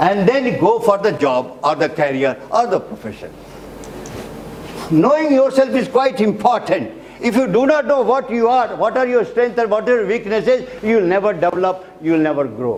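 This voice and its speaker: A man's high voice with an Indian accent, very wide pitch swings and a moderate pace, amid audible room echo and noticeable background noise. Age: 70s. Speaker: teacher, retired naval officer. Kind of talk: lecture. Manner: repetitive, emphatic.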